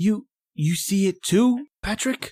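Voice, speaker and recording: The voice is fairly high in pitch. It is a put-on character voice. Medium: audio drama. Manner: stammering, fearful.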